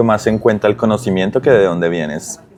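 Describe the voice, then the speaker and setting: A man with a strong Colombian accent speaks at a fairly low pitch with ordinary pitch variation amid noticeable background noise. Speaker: digital transformation consultant. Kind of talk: casual interview. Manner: hesitant, many fillers.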